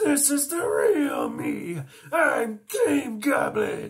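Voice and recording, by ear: A man's put-on character voice, extremely high and very slow.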